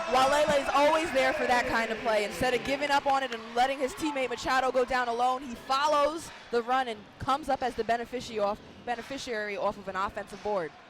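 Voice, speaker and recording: Over noticeable background noise, a woman rattles along at a very fast pace in a high pitch with ordinary pitch variation. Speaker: radio color commentator. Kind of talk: color commentary analysis.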